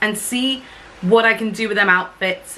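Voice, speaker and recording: Noticeable background noise sits behind a woman's voice. Her pitch is fairly high with ordinary variation. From UK. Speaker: cruise ship singer and vlogger. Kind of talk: casual vlog.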